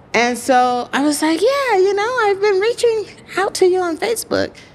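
A woman's extremely high pitch makes very wide swings as she speaks. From Texas, US South. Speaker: writer and producer. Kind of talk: interview. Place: studio. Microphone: studio mic.

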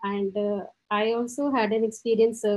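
A woman speaks in a fairly high voice with fairly even intonation. The background is quiet. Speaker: participant asking question. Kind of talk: polite question and thanks. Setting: online video call. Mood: polite, appreciative. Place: home room. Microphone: video call.

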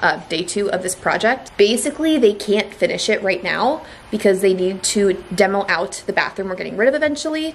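Over light background noise, a woman talks at a moderate pace with lively intonation. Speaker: homeowner vlogger. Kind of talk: casual vlog chat. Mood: upbeat, mildly excited. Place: garage. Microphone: phone near.

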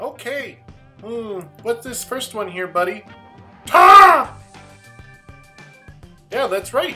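A female-sounding, cartoonish character voice speaks at a very slow pace over faint music in the background. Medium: puppet. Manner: gentle, encouraging.

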